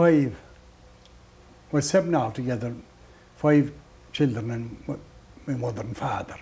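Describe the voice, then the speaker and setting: Talking at a moderate pace with a west of Ireland accent, a man with a medium pitch and ordinary pitch variation leaves long, frequent pauses, his loudness swinging widely. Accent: rural west of Ireland (Clare). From Ireland, County Clare. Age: 70s. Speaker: traditional musician. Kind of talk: interview. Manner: halting.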